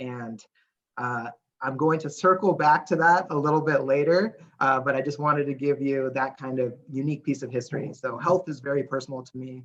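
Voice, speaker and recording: Fairly quick speech from a man with a fairly high pitch and fairly even intonation. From California, Santa Barbara. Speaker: nonprofit staff presenter. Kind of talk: presentation. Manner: fast.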